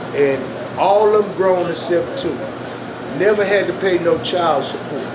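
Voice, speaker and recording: A man speaks at a moderate pace in a high voice with ordinary pitch variation, while room echo and noticeable background noise can be heard. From Los Angeles, California. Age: 50s. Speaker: street interviewee. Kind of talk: casual interview.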